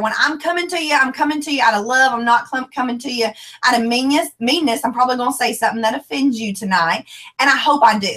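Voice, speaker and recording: A woman's high-pitched voice with a bright, sharp tone at a very fast pace. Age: 20s. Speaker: former teacher and network marketer. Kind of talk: motivational talk. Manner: animated.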